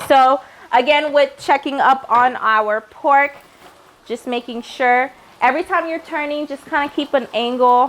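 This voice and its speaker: High in pitch, a woman talks at a fairly slow pace with ordinary pitch variation. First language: Haitian Creole. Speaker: cooking show host. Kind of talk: cooking tutorial. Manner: casual, chatty.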